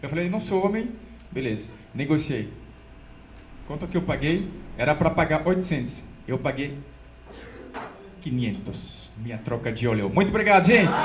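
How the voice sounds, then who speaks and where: At a moderate pace, a man with a fairly high pitch makes very wide pitch swings and long, frequent pauses amid audible room echo. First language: French (speaking Portuguese). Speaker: stand-up comedian. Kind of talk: stand-up.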